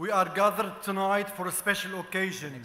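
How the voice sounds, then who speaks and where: Over noticeable background noise, a man with an Arabic accent projects a raised voice in a high pitch, at a moderate pace with fairly even intonation. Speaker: journalist and media figure. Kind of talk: formal gala speech. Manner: formal.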